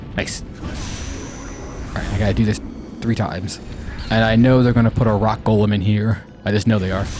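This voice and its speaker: Over music in the background and audible room echo, a man speaks at a moderate pace with fairly even intonation. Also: fairly low pitch for a man. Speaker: gaming streamer. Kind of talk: let's play commentary. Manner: halting, repeated words.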